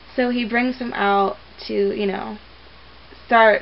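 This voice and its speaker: Noticeable noise sits behind a woman's voice. Her pitch is fairly high and her intonation fairly even. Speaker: movie reviewer vlogger. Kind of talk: casual movie review. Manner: casual, filler-heavy.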